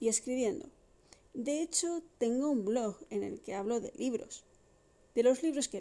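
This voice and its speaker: A woman's high voice with a Madrid accent, a dark, mellow tone and lively intonation, at a fairly slow pace with long, frequent pauses. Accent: Castilian Spanish (Madrid). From Madrid, Spain. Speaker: podcast host. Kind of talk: casual monologue.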